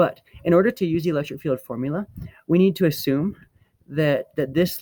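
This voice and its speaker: The sound is dry and close, with no echo. A man speaks in a dark, mellow tone with ordinary pitch variation. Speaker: physics teacher. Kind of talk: lecture. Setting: outdoors on apartment roof. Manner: fast.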